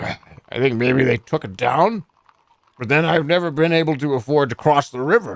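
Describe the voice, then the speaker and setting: Putting on a character voice with a fairly high pitch, a man speaks at a moderate pace. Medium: game stream. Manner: vague, noncommittal.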